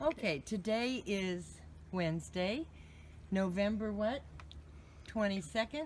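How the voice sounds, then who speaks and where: Over light background noise, a somewhat breathy woman speaks very slowly with lively intonation and long, frequent pauses. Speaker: interviewer. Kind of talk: interview questions. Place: garden. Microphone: phone near.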